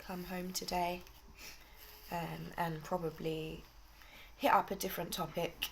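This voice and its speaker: A woman in a British accent, talking at a very slow pace. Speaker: vlogger. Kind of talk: casual chat.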